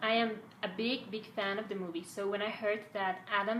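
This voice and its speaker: Audible room echo follows a woman with a Spanish accent as she speaks at medium pitch with fairly even intonation. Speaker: fan vlogger. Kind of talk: casual fan commentary. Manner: halting, some stumbles.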